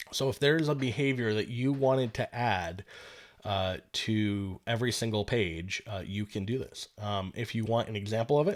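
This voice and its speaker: On a very clean recording with a silent background, a man in a normal speaking voice talks at a moderate pace with medium pitch and ordinary pitch variation. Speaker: software developer streamer. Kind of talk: live coding stream. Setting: live stream with chat.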